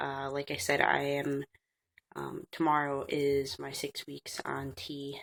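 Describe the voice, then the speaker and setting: A woman speaks at a very slow pace in a raspy, very deep, low voice. The recording is very clean, with a silent background. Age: 20s. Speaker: vlogger. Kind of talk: casual vlog. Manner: hesitant with many fillers.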